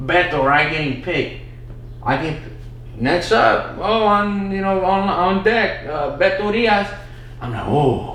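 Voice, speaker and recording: Amid noticeable background noise and audible room echo, a man with a high pitch speaks at a fairly slow pace with ordinary pitch variation. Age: 20s. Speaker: comedian. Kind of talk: casual chat. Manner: halting, repeats words.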